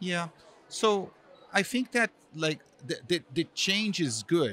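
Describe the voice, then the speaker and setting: A man at a very slow pace, high-pitched, with a bright, sharp tone. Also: lively intonation. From Brazil. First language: Portuguese. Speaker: marketing executive. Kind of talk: interview. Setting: live event. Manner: hesitant, many fillers.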